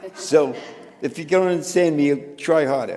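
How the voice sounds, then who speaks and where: Against noticeable background noise, a man with a slight New York accent talks at a fairly slow pace, his pitch fairly high and his intonation fairly even. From New York City (Bronx). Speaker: photographer. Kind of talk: panel conversation. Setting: museum event with live audience.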